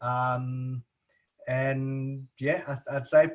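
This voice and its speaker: A man's somewhat breathy, fairly high-pitched voice in a South African accent. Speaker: recruitment agency owner. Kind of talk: interview. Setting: video call.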